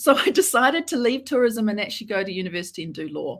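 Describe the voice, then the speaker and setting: Very fast and somewhat breathy, a woman with a New Zealand accent speaks at a fairly high pitch with very wide pitch swings on a very clean recording with a silent background. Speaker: lawyer. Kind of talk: interview.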